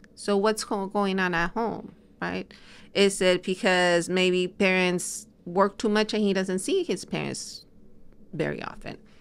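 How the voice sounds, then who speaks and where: A woman with an ordinary speaking voice, medium pitch and fairly even intonation, at a fairly slow pace, in a very clean recording against a silent background. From US, immigrated at 13. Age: 60s. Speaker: family and marriage therapist. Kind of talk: interview conversation.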